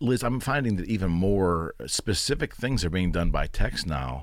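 On a very clean recording with a silent background, a man with a very deep, low pitch speaks with lively intonation at a fairly slow pace. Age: 50s. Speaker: podcast host and realtor. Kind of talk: casual interview.

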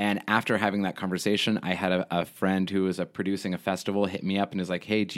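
A man with an American accent and a very deep, low voice talks at a very fast pace in a very clean recording with a silent background. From Texas (Houston). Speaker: theater artistic director, actor-musician. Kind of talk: casual interview.

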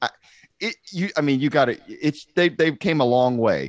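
A man with an American accent and an unremarkable speaking voice, lively intonation, a moderate pace and a quiet background. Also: dry, close sound with no echo. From Texas, Amarillo. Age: 40s. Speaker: podcast host. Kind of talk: casual chat.

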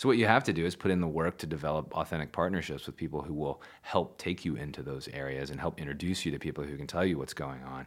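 Very fast and with hardly any pauses, a man talks at a very deep, low pitch. His voice has vocal fry and ordinary pitch variation. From Louisville, Kentucky. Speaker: public media executive. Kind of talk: casual interview.

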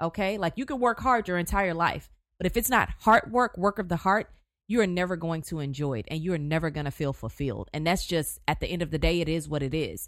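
On a very clean recording with a silent background, a woman speaks with an American accent. Her fairly low voice moves at a very fast pace with lively intonation. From Houston, Texas. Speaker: journalist and news anchor. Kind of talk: casual interview.

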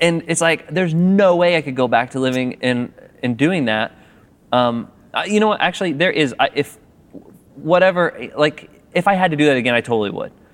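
A man with a normal speaking voice, a fairly high pitch and lively intonation. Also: fairly quick pace. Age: 30s. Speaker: filmmaker, owner of a video production company. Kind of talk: interview conversation. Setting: theater balcony.

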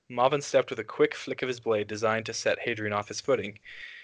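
Someone reads aloud. The reading is plain.

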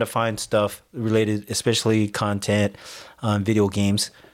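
Speaking at a fairly slow pace, a man with a fairly low pitch has a normal speaking voice, captured in a very clean recording against a silent background. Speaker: podcast host. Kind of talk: casual chat.

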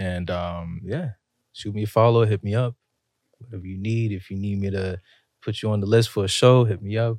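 Dry and close with no echo, a man has an ordinary speaking voice, fairly low in pitch with fairly even intonation. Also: moderate pace. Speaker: singer-songwriter guest. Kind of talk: casual interview chat. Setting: studio.

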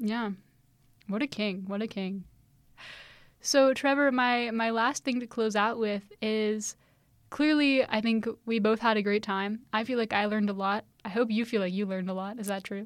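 A woman with an ordinary speaking voice talks at a moderate pace, her pitch fairly high and her intonation fairly even. The recording is very clean, with a silent background. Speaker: student podcast host. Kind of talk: casual interview.

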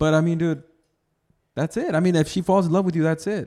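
At a fairly quick pace, a man with a fairly high pitch has a plain, everyday voice, on a very clean recording with a silent background. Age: 20s. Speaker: podcast host. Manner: loud, profane, fast and interrupting.

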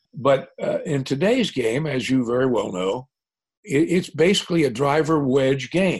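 Somewhat breathy speech in an American accent with lively intonation. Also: man, fairly high pitch for a man, moderate pace. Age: 80s+. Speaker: retired golf tour commissioner. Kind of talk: interview.

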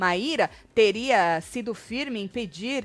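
With lively intonation and a medium pitch, a woman talks in an unremarkable speaking voice. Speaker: gossip YouTuber. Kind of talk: casual chat; reading aloud. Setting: live stream.

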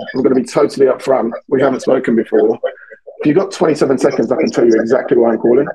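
A British-accented man talks at a very fast pace and fairly high pitch, with ordinary pitch variation and very even loudness. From England, London. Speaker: sales agency founder, outbound sales expert. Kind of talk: podcast interview. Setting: video call, remote.

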